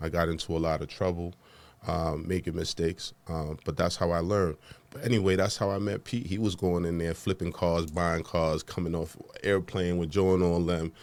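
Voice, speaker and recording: A man's very deep, low voice with a New York accent, fairly even intonation and a fairly quick pace, on a very clean recording with a silent background. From Honduras, raised in the Bronx, New York. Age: 40s. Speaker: podcast host and entrepreneur. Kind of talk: interview. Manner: casual, conversational.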